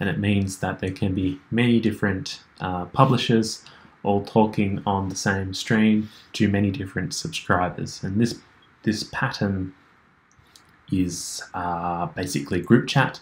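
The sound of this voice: Delivery moves at a fairly slow pace. The intonation remains fairly even throughout. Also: man, low pitch for a man.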